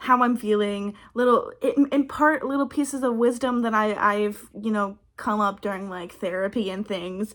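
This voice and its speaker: A woman with an American accent and a fairly high pitch has an ordinary speaking voice, with ordinary pitch variation at a moderate pace. The recording is very clean, with a silent background. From Texas. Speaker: vlogger and aspiring actress. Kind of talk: casual talk to camera.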